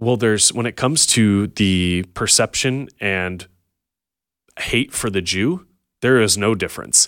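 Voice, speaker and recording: A man's normal speaking voice, fairly low in pitch with ordinary pitch variation, at a fairly slow pace on a very clean recording with a silent background. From Montana. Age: 30s. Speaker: ministry staff member. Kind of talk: interview. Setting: studio.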